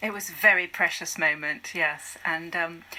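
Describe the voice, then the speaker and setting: A woman speaks at a fairly low pitch with fairly even intonation. Background noise is noticeable. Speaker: charity volunteer and campaigner. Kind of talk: radio interview answer.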